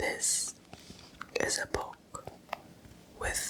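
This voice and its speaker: A man is whispering. Noticeable background noise runs behind him. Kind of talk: ASMR, soft-spoken talking to camera. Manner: soft-spoken, whispering.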